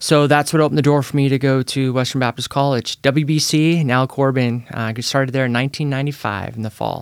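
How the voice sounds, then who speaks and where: Speaking very fast, a man with a West Coast US accent keeps to a medium pitch. The recording is very clean, the background silent. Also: hardly any pauses. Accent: General American, West Coast. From Northern California (Petaluma). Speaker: evangelist. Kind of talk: podcast interview. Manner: energetic.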